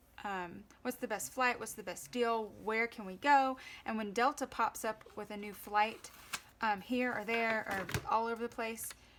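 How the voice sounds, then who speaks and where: A woman speaks in a fairly high pitch with an even-leaning intonation. She has a Southern US accent. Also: moderate pace. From US South. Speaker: planner vlogger. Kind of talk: tutorial. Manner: casual.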